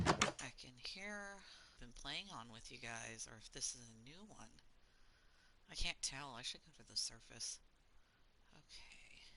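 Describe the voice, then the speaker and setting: A woman with an American accent speaks at a fairly slow pace with a very deep, low pitch and a bright, sharp tone. Her pitch swings very widely, her loudness rises and falls sharply, and long, frequent pauses fill her speech. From US South. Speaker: gaming streamer. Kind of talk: casual gameplay commentary. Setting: live stream. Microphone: choppy audio from internet problems.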